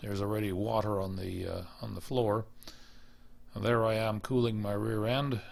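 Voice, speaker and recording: Delivered at a moderate pace with a Canadian accent, the speech has fairly even intonation and audible room echo. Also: man, fairly low pitch for a man. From British Columbia, Canada. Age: 70s. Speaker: retired Arctic radar station worker. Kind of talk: slide show commentary. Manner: casual, with frequent hesitations.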